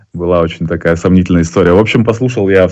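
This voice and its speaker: Here a man speaks at a very deep, low pitch. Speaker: poker player and live tournament commentator. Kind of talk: casual chat. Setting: video call.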